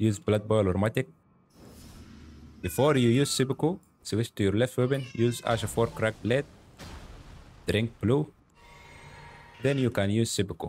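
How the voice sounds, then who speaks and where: A man's medium-pitched voice with a non-native accent, at a moderate pace with very even loudness, ordinary pitch variation, long, frequent pauses, and music in the background. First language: not English. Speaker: gaming YouTuber. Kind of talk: gameplay commentary. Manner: animated.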